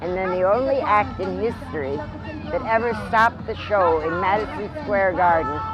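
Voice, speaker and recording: A woman with an American accent speaks at a fairly slow pace, her fairly low pitch making very wide swings. Audible room echo surrounds her, with crowd noise in the background. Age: 70s. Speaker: circus performer. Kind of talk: interview.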